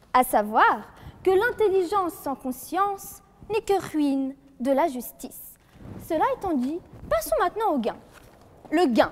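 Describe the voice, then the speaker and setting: A woman speaks at an extremely high pitch with very wide pitch swings, very slowly and with long, frequent pauses. Noticeable background noise runs under her voice. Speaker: law student competitor. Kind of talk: eloquence contest speech. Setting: courtroom hall with jury and audience. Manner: formal.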